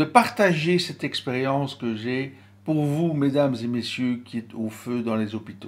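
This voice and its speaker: A man's medium-pitched voice, ordinary pitch variation, fairly slow pace. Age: 60s. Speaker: stress and crisis management trainer. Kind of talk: motivational talk with guided breathing exercise.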